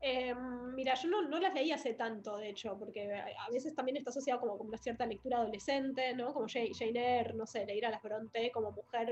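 The woman's voice sits high in pitch and shows ordinary pitch variation. She speaks at a fairly quick pace. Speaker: writer and actress. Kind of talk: casual interview conversation.

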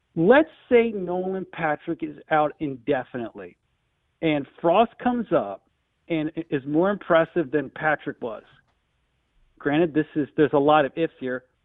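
In a plain, everyday voice, a man speaks with an American accent at a moderate pace. His pitch is fairly high and his intonation lively. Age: 40s. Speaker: sports radio caller, hockey fan. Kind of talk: call-in radio chat. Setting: phone call.

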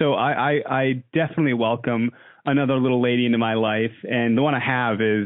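A man talking at a fairly quick pace, intonation fairly even. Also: medium pitch for a man.

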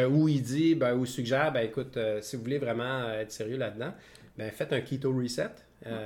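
With a Quebec accent, a man speaks in fairly even intonation. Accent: Québécois French. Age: 50s. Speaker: podcast co-host. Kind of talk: casual chat. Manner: halting.

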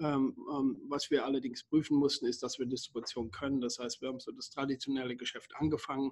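A man talks in a monotone, flat intonation at a fairly high pitch. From Germany. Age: 50s. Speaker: company founder and CEO. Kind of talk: interview. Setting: remote call. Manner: halting, many fillers and repetitions.

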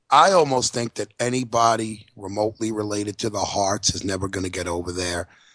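A man with a New York accent at a fairly quick pace, in a dry, close sound with no echo and a quiet background. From New York City. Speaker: podcast co-host. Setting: studio.

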